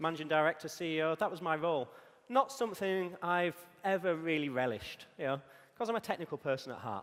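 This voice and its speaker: A man with a Yorkshire accent, a fairly high pitch, lively intonation and a very fast pace. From northern England, Yorkshire. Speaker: conference speaker, technical evangelist. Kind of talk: conference talk. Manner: frequent filler ums.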